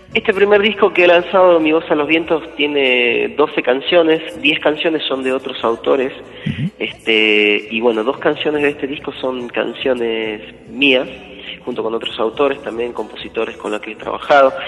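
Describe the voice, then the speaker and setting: A man talks at a moderate pace with a fairly high pitch and lively intonation. Noticeable background noise is present. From Argentina, Jujuy. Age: 30s. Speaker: folk singer. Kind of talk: interview.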